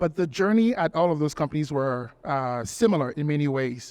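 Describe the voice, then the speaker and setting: In a French accent, the speaker keeps to a moderate pace. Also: man. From Togo, West Africa. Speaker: talent acquisition executive. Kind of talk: conference panel interview.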